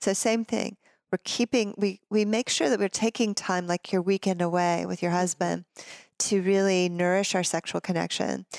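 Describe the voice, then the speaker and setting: On a very clean recording with a silent background and a dry, close sound with no echo, a woman with an unremarkable speaking voice talks at a moderate pace and medium pitch with fairly even intonation. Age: 50s. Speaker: tantric yoga and intimacy teacher. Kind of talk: casual interview.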